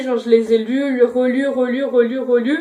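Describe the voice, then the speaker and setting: A woman speaks in a high pitch with fairly even intonation. There is noticeable noise behind her. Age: 20s. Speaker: booktuber. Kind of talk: casual book review vlog. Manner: hesitant, many fillers.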